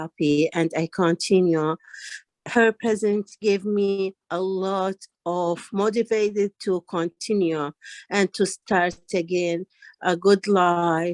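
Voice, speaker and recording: A woman's medium-pitched voice with a non-native accent, very slow pace and fairly even intonation, dry and close with no echo against a quiet background. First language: not English. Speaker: ESL student at women's organization. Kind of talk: testimony. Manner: halting.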